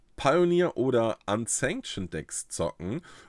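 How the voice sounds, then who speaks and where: The man talks at a very slow pace. The sound is dry with no echo, and the background is quiet. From northern Germany, Uelzen; northern Germany. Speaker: YouTuber on trading card games; card game content creator. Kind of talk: casual vlog storytelling. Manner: animated. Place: home room.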